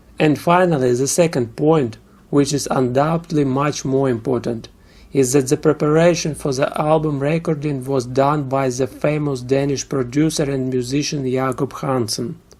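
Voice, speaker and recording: With a Russian accent, a man speaks at a moderate pace in a fairly high voice, his intonation fairly even. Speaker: music reviewer. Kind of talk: album review.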